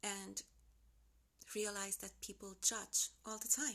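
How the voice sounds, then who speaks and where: A woman's medium-pitched voice with a Finnish accent. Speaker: lifestyle vlogger. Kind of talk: unedited motivational vlog talk. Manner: casual, unscripted.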